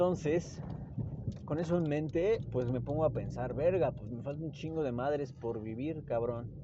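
A man with a Mexican accent at a moderate pace, ordinary pitch variation, and audible room echo. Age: 20s. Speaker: podcaster and doctor. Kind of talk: casual monologue. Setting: in a car. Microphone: hands-free phone mic.

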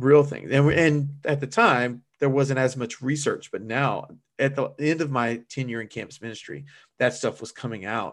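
A man speaks with an American accent in an unremarkable speaking voice at a medium pitch, moderate pace and fairly even intonation. The recording is very clean, with a silent background. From US South. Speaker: church minister. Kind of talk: casual interview.

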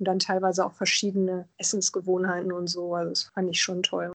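This woman talks at a medium pitch. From Germany. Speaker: interviewee, lawyer. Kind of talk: interview.

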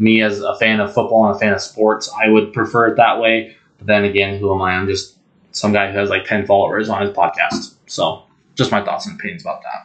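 A man speaks with an American accent. His pitch is fairly low and his intonation fairly even. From Montana. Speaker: sports podcast host. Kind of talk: casual monologue. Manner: halting, many ums.

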